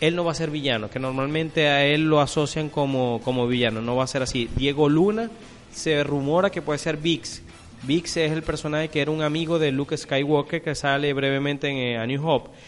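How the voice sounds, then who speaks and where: A fairly quick pace over music in the background. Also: man, fairly high pitch for a man, fairly even intonation. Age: 30s. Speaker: film podcast co-host. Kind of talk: casual chat. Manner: halting.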